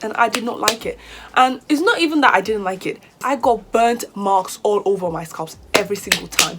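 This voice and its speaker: A woman's fairly high, animated voice in a British accent, with lively intonation, a moderate pace and noticeable background noise. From Nigeria. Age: 20s. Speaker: hair vlogger, university student. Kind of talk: casual vlog talk to camera.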